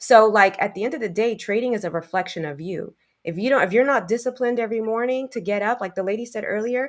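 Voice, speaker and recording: A woman with a New York accent speaks at a very fast pace in an animated tone, her fairly high pitch showing ordinary variation. The recording is very clean, with a silent background. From New York, the Bronx. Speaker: trading educator. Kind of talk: panel discussion. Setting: live podcast. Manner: direct, animated.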